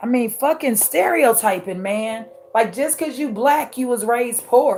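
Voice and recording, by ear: A hoarse, raspy put-on character voice at a moderate pace with ordinary pitch variation. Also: woman, fairly high pitch for a woman.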